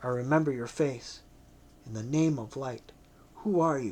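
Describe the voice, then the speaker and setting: A man puts on a raspy, growling character voice at medium pitch. He speaks at a moderate pace. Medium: read story. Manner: sullen, growling.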